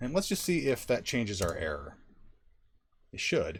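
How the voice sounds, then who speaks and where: A man with vocal fry. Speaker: software developer live-coding streamer. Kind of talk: live coding tutorial. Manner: animated.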